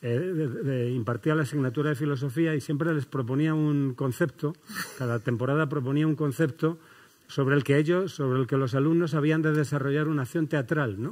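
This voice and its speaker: Fairly quick, fairly even speech from a man over a quiet background. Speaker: host or moderator of a talk. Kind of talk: public talk introduction, anecdote. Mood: warm, amused storytelling. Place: stage. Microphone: headset.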